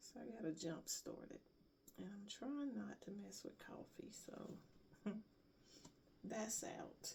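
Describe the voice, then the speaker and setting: Whispering in a relaxed tone, the speaker moves at a very slow pace. Long pauses come often. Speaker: crafter making handmade bags. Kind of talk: casual craft tutorial vlog. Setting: at home craft table, early morning. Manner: relaxed, thinking aloud.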